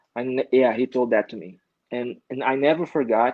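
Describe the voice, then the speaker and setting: With a Brazilian accent, a man speaks at a medium pitch and a moderate pace, with fairly even intonation. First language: Portuguese. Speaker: comic book artist. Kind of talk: casual interview. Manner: halting.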